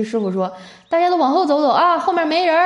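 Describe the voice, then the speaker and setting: Her tone animated, a woman talks at a very fast pace with very wide pitch swings. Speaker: podcast host. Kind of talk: casual comedic monologue; reading listener messages. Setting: hotel room. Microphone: echoey room.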